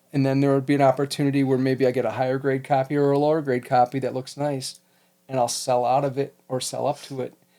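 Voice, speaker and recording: A man at a very fast pace, monotone and flat in intonation, with music in the background. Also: medium pitch for a man. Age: 50s. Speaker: podcast co-host, comic and card collector. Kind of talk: casual chat.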